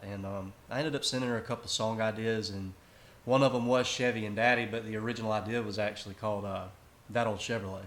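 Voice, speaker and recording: The speaker has a Southern US accent and a fairly quick pace. The intonation stays monotone and flat. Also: man. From South Carolina. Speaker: country singer-songwriter. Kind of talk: casual interview. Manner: relaxed, casual.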